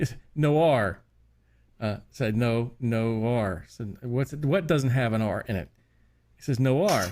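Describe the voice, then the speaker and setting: Slow to the extreme, a man with a Wyoming accent speaks at a medium pitch with ordinary variation, leaving long, frequent pauses. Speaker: podcast co-host. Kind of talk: casual chat.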